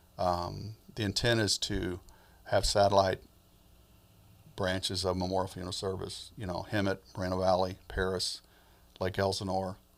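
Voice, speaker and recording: On a very clean recording with a silent background, a man with a very deep, low pitch and an American accent speaks in a monotone, flat way with long, frequent pauses. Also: moderate pace. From US Midwest and South (Alabama, Michigan, Georgia). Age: 60s. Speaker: funeral home owner. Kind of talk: interview.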